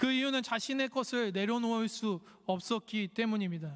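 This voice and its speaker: Speech proceeds at a moderate pace. The background is silent, and the recording is very clean. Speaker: preacher. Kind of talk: sermon. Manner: halting, frequent self-corrections.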